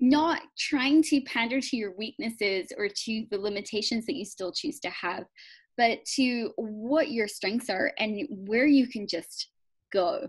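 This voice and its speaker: With lively intonation, a woman speaks against a quiet background. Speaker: business coach and workshop facilitator. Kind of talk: interview on a video call. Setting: video call. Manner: intense, energetic.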